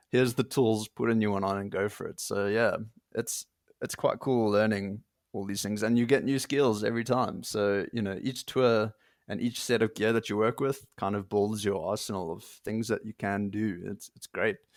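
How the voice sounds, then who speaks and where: With an unremarkable speaking voice, a man talks at a moderate pace and fairly low pitch, his intonation fairly even, in a dry, close sound with no echo. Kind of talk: casual interview chat.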